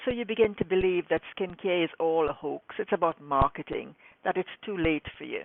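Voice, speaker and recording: With an unremarkable speaking voice, a woman talks at a moderate pace, her fairly low pitch showing ordinary variation. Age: 60s. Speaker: skincare specialist and scientist. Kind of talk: direct-to-camera talk to viewers.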